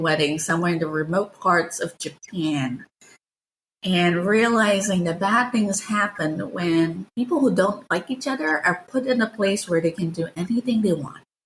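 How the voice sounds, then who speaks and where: A woman speaks with a somewhat breathy voice and lively intonation. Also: medium pitch for a woman, moderate pace. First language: not English. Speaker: novelist and game writer. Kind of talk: interview.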